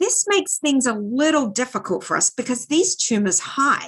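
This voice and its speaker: Her high voice swings very widely in pitch as a woman speaks at a moderate pace in an animated tone. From Australia. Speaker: neuroradiologist. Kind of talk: lecture.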